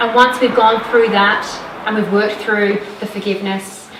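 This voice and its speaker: There is noticeable background noise and audible room echo as a woman with a fairly high pitch talks at a fairly quick pace. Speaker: women's wellness coach. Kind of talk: live talk to audience. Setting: stage with audience. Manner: loud. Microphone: no microphone.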